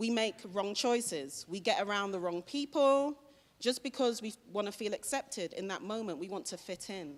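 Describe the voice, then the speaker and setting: A woman's fairly high voice in a British accent, with lively intonation, on a very clean recording with a silent background. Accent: British accent, noticeable. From London, England. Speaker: motivational speaker. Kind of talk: school assembly talk. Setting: school assembly hall with students.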